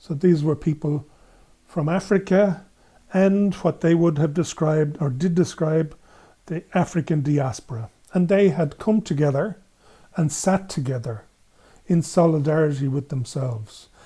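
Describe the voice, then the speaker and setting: In an Irish accent, a man speaks at a moderate pace in a fairly high voice with a dark, mellow tone. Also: ordinary pitch variation. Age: 70s. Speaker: gender equality activist. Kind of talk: podcast interview. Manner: halting.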